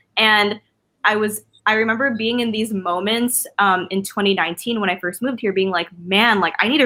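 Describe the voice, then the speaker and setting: In a West Coast accent, a woman talks with a bright, sharp tone. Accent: American English, West Coast. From Philippines. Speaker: artist and influencer. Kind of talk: casual interview chat. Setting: video call livestream. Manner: casual, filler-heavy ('like', 'um').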